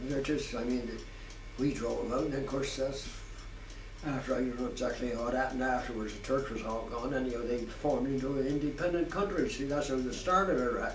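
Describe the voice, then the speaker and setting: A man at a medium pitch and fairly quick pace, with ordinary pitch variation, audible room echo and noticeable background noise. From southwest England, Dorchester in Dorset. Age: 90s (80s+). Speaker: war veteran. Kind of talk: oral history interview. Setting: care home. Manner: halting, with repetitions.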